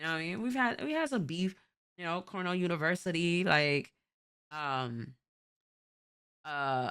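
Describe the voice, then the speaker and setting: In a New York accent, a woman with a fairly low pitch speaks at a moderate pace in an animated tone with lively intonation and long, frequent pauses, on a very clean recording with a silent background. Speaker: streamer reacting to videos. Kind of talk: casual reaction commentary.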